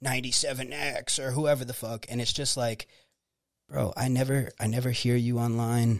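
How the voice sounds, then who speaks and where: A man's normal speaking voice at medium pitch, with an American accent, a moderate pace, and a very clean recording over a silent background. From Florida, Tampa Bay area (Clearwater). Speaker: rapper and songwriter. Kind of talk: casual chat.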